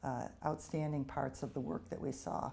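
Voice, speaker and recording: Using a dark, mellow tone with vocal fry, the speaker talks at a fairly slow pace with lively intonation in an American accent. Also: woman. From United States. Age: 50s. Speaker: physicist. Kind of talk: interview.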